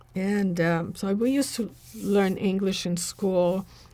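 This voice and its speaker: In a Portuguese accent, a woman speaks very slowly at a medium pitch. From Brazil. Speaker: spiritual teacher. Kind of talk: interview. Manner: hesitant, with fillers.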